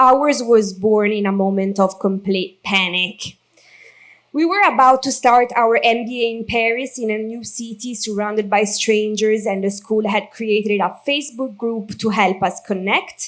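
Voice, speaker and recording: A woman with a strong Italian accent speaks at a fairly slow pace and a fairly high pitch. Her pitch varies in an ordinary way. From Italy. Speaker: maid of honor. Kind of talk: wedding speech read from notes. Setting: wedding reception.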